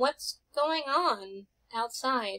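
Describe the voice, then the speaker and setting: A put-on character voice, female-sounding and high-pitched. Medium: actual play. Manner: chatty, insistent.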